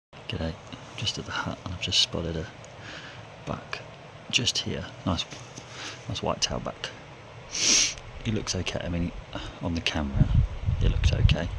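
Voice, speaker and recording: Noticeable background noise sits behind a man with a very deep, low pitch. His pitch variation is ordinary, and he leaves long, frequent pauses. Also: moderate pace. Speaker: hunter and conservation trapper. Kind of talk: outdoor vlog narration. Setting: outdoors. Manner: casual.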